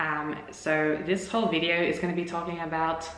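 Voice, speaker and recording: Recorded with audible room echo and noticeable background noise, a woman with an Australian accent speaks at a fairly low pitch. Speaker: language-learning vlogger. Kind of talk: casual vlog talk to camera. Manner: hesitant, many fillers.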